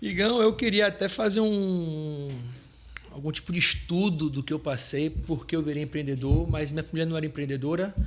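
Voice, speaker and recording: A man with a fairly high voice talks at a moderate pace, his pitch varying normally, while noticeable background noise carries on behind him. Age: 30s. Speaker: entrepreneur. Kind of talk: podcast interview.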